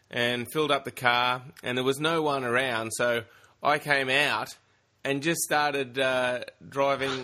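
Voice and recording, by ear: Intonation is fairly even throughout. The reading aloud is done in a natural voice.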